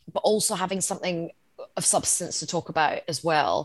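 It's a plain, everyday voice with lively intonation. The sound is dry and close, with no echo. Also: woman. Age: 40s. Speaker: journalist, comedian and former political advisor. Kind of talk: casual chat.

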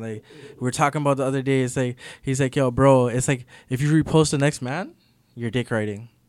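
In a very clean recording with a silent background, a man with a Toronto accent speaks at a very fast pace, his medium pitch carrying fairly even intonation. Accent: Toronto urban Canadian English. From Toronto, Canada (Jane and Weston area). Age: 20s. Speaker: rapper. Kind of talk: casual interview.

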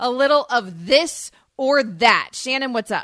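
A woman speaks in an upbeat, playful tone. Her high-pitched voice sounds bright and sharp. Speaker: sports radio co-host. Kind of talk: radio host patter, teasing and bantering between segments. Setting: radio studio. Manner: upbeat, quick, playful.

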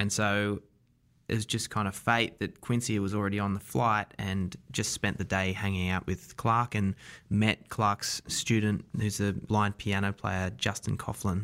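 A man with an Australian accent speaks at a fairly slow pace with fairly even intonation, on a very clean recording with a silent background. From Australia, Wollongong. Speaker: documentary director. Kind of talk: interview.

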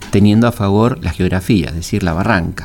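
A man with a fairly low pitch talks fairly quickly while noticeable noise carries on behind him. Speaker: historian and radio host. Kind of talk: radio history talk. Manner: halting, many fillers.

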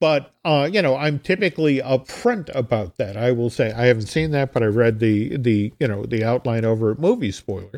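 A man with an unremarkable speaking voice talks at a moderate pace with hardly any pauses, his medium pitch carried by lively intonation. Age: 60s. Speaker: entertainment writer and podcast host. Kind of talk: casual chat.

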